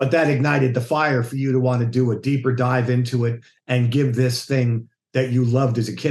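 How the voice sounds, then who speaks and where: A man's somewhat breathy voice with monotone, flat intonation. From United States. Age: 60s. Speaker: bass player. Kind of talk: casual interview chat.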